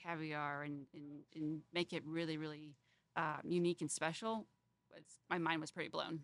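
With an American accent, a woman speaks at a moderate pace in a very deep, low pitch and fairly even intonation. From Fort Wayne, Indiana. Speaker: chef. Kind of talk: interview. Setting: restaurant.

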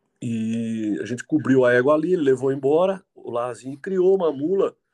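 The man's tone is dark and mellow. His pitch sits fairly high. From Jundiaí, São Paulo state, Brazil. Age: 50s. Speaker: mule and donkey breeder. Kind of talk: casual interview. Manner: halting, with repetitions.

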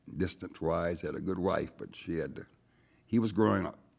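A very deep, low male voice with an American accent, at a moderate pace and fairly even intonation, on a very clean recording with a silent background. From Erie, Pennsylvania. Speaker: retired city official. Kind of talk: studio discussion. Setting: studio.

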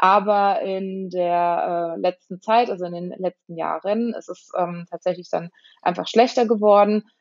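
At a fairly slow pace, a woman speaks at a medium pitch with fairly even intonation but big swings in loudness. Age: 30s. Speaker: patient sharing her illness story. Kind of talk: interview. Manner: hesitant with many fillers.

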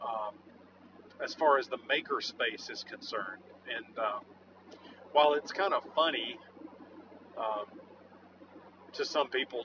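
Noticeable noise sits behind a man who speaks at a moderate speed. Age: 40s. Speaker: blacksmith. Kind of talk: casual monologue. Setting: in a car.

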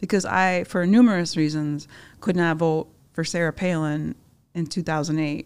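Speaking fairly slowly in an American accent, this is an ordinary speaking voice with fairly even intonation. The recording is very clean, with a silent background. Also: woman, fairly low pitch for a woman. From Upper Peninsula of Michigan. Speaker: magazine publisher. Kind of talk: interview.

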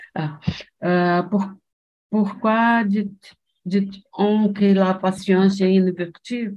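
A woman speaks very slowly with a Portuguese accent at a medium pitch. Her voice is somewhat breathy, with monotone, flat intonation. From Brazil, Rio de Janeiro. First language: Portuguese (speaking French). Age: 60s. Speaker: retiree, language learner. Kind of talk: conversation practice. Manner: halting.

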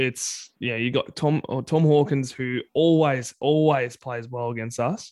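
A man with an Australian accent speaks at a fairly slow pace and medium pitch, his intonation fairly even and his speech with hardly any pauses. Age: 30s. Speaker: football fan podcast co-host. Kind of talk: casual chat.

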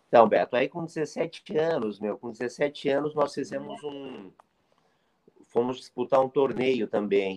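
In an unremarkable speaking voice, a man speaks at a moderate pace and a medium pitch with ordinary pitch variation, in a dry, close sound with no echo. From interior of São Paulo state, Brazil. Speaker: retired footballer, player agent. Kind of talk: casual interview chat.

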